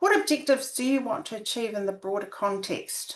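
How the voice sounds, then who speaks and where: Speaking with a New Zealand accent, a woman lets her pitch swing very widely. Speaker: academic researcher. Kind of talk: webinar presentation. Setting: video call. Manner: halting, many fillers.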